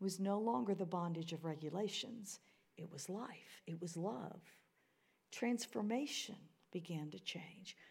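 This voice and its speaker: A somewhat breathy woman's voice, fairly slow in pace, with lively intonation. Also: medium pitch for a woman. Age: 60s. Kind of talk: sermon. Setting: church.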